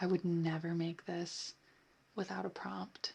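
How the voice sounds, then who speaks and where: Speech unfolds at a fairly slow pace. The speaker is soft-spoken. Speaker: ASMR creator. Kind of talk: soft spoken chit chat.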